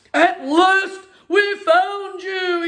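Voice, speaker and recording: In a put-on character voice, a woman pitches her words extremely high. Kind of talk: bedtime story. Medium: read story. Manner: warm, jolly.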